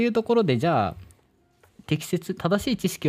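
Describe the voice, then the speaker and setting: This man talks at a moderate pace with a dark, mellow tone, recorded very cleanly against a silent background. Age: 20s. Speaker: startup founder. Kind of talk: radio interview.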